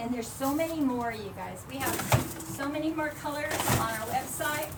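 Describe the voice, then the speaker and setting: A woman's high-pitched voice with ordinary pitch variation, audible room echo and noticeable background noise. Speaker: craft shop presenter. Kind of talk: live tutorial. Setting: livestream. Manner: fast; animated.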